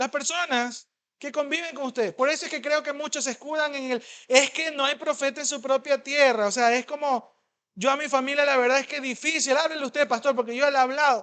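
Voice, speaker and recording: The voice is raised and projected, with a bright, sharp, animated tone at a fairly quick pace. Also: man, extremely high pitch for a man. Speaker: pastor. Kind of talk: sermon. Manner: fast.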